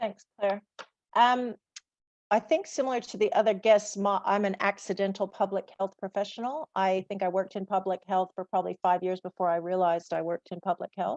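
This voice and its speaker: With an American accent, a woman speaks at a fairly quick pace in an ordinary speaking voice, her medium pitch showing ordinary variation, in a dry, close sound with no echo. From USA. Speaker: public health student success coach. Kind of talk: panel discussion.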